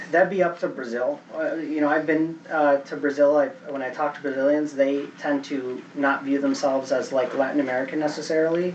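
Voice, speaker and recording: Barely pausing, a man with a fairly high pitch speaks at a fairly quick pace over noticeable background noise. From Chicago, US (moved from Venezuela as a child). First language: Spanish. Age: 30s. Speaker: seminar speaker. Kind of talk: Q&A after a talk.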